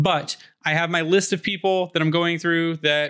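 With a bright, sharp tone, a man talks at a moderate pace. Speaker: hockey podcast host. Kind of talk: casual chat. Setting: video call.

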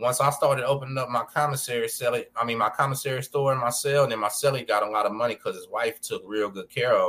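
Someone with an American accent speaks at a very fast pace in a bright, sharp tone with fairly even intonation. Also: man. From Texas, Galveston. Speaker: podcast host, former prisoner. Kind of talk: casual interview chat.

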